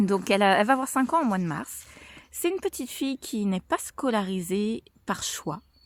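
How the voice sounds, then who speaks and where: With a dry, close sound and no echo, a woman of medium pitch speaks at a moderate pace. Her pitch swings very widely, and she takes long, frequent pauses. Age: 30s. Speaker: mother vlogger. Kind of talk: casual vlog monologue. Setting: outdoors on a walk. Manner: hesitant, many fillers.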